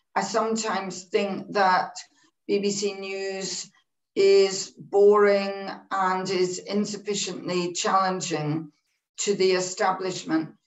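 A woman talks at a very slow pace in a monotone, flat intonation. Audible room echo sits over a quiet background. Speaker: broadcasting executive. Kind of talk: online panel talk. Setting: video call. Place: home room.

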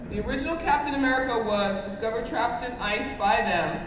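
A woman talks at a very fast pace amid noticeable background noise and audible room echo. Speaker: convention panel host. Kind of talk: live convention panel. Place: hall.

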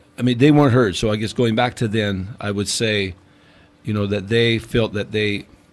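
With a Newfoundland accent, a man speaks at a fairly low pitch with fairly even intonation. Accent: Newfoundland Canadian English. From Newfoundland, Canada. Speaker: podcast guest. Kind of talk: casual chat. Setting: studio.

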